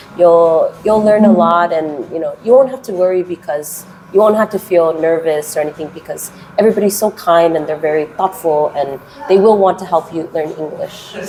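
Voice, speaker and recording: Through noticeable background noise, a woman talks at a fairly low pitch and a moderate pace with ordinary pitch variation. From US West Coast, Los Angeles. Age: 30s. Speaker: kindergarten English teacher. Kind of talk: interview. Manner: hesitant, many fillers.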